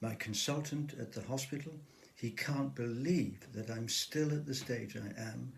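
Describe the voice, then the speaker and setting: A man's fairly slow voice with vocal fry and ordinary pitch variation, in audible room echo. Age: 70s. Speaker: author with Parkinson's disease. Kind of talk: personal testimony to camera.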